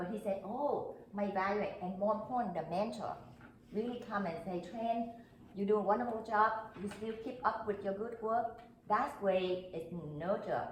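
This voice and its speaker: At a moderate pace, a woman speaks in a fairly high pitch with audible room echo. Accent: non-native. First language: not English. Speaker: club member panelist. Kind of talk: panel discussion.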